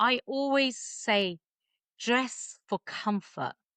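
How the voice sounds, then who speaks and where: Bright and sharp in tone, a woman speaks in an English accent. Her pitch is high and her intonation lively. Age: 50s. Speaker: body confidence coach and stylist. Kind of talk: casual chat.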